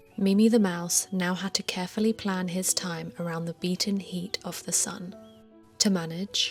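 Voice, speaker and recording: Music plays behind a woman with a British accent whose calm, soothing tone stays in monotone, flat intonation. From United Kingdom. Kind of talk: bedtime story.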